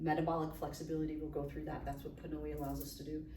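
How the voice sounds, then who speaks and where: The room echo is audible as a woman talks. Noticeable background noise runs underneath. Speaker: physician giving a health talk. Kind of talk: lecture to a live audience. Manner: fast.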